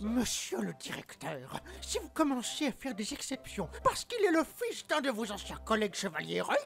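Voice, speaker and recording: Male speech in a put-on character voice, moderately paced. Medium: audio drama. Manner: indignant, spluttering.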